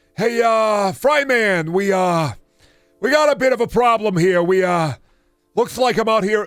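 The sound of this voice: Over faint background music, a man puts on a character voice with a high pitch and a moderate pace.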